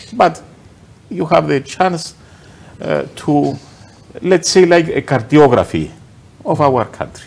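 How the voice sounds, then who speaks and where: Speaking very slowly with a Greek accent, a man leaves long, frequent pauses. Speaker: TV show host. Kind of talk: panel discussion. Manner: halting.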